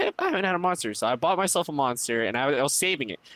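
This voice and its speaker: The speech comes at a very fast pace with very wide pitch swings. The sound is dry and close with no echo, and there is noticeable background noise. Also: man. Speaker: gaming podcast member. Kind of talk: casual chat.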